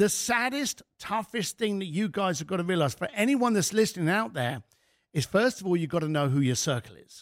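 A man's high-pitched voice with a British accent, very wide pitch swings, big swings in loudness and a fairly quick pace, in a dry, close sound with no echo on a very clean recording with a silent background. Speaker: author and speaker. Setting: studio.

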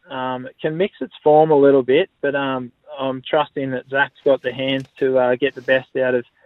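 A man with an Australian accent, medium-pitched, at a moderate pace with hardly any pauses, in a flat monotone. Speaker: horse owner, harness racing tipster. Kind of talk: casual tipping chat. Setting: phone call.

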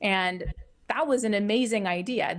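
A woman with a Canadian accent speaks in a plain, everyday voice, her pitch fairly high with ordinary variation, on a very clean recording with a silent background. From Ottawa, Canada. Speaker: astrophysicist professor. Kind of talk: interview. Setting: live stream on Clubhouse and YouTube.

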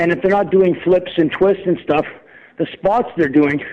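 A high-pitched man with an intense, passionate tone. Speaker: wrestler and promoter. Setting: phone call. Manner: passionate, rapid-fire ranting; intense, rambling, emphatic.

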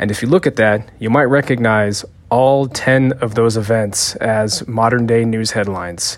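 With a plain, everyday voice, a man talks at a moderate pace and medium pitch, his intonation fairly even. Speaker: listener. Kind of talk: recorded message.

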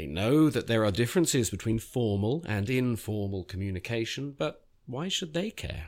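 Speaking at a moderate pace with hardly any pauses, a man with a London accent uses a medium pitch and very wide pitch swings on a very clean recording with a silent background. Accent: British English (London). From England (London). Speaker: writer and essayist. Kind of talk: reading aloud. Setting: studio. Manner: halting, many fillers in conversation.

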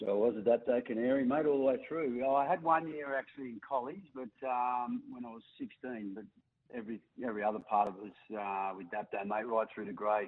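A man at medium pitch with an Australian accent, fairly quick pace, ordinary pitch variation and big swings in loudness. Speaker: former rugby league player. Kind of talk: radio interview.

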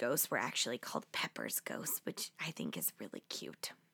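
A woman's voice is captured dry and close, with no echo. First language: not Japanese. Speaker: history podcast host. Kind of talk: scripted narration. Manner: animated.

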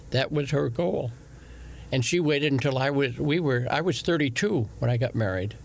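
A man talks at a medium pitch and a moderate pace, with lively intonation. Vocal fry shows up in his voice.

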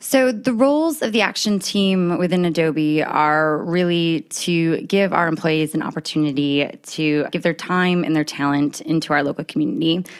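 An ordinary speaking voice: a woman with an American accent at a fairly low pitch and moderate pace. Her loudness is very even, her pitch varies in an ordinary way, and she hardly pauses. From upstate New York, US. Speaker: corporate social impact lead. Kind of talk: casual interview.

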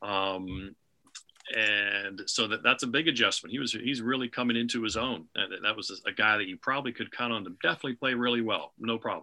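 Using ordinary pitch variation, a man at a medium pitch talks at a fairly quick pace in a bright, sharp tone. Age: 50s. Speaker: hockey play-by-play broadcaster. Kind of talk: casual interview. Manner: halting, with fillers and repetitions.

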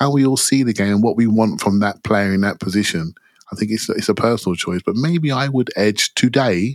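A man has an unremarkable speaking voice at medium pitch with ordinary pitch variation. He talks at a fairly quick pace, and the sound is dry and close with no echo. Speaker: football podcast panelist. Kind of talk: casual chat.

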